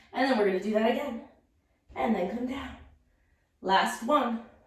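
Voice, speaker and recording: A woman speaks at a fairly high pitch. Audible echo from the room is present. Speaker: pilates instructor. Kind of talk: guided workout instruction.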